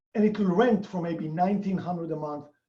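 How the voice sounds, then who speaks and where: Speaking at a moderate pace with a non-native accent, a man uses a high pitch, a dark, mellow tone and lively intonation. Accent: foreign. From outside the US. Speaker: real estate investor. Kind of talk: interview.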